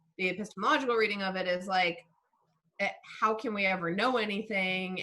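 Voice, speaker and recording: A woman talks at a fairly quick pace in a plain, everyday voice, with ordinary pitch variation. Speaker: philosophy of science lecturer. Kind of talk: lecture with Q&A discussion. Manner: casual, many fillers.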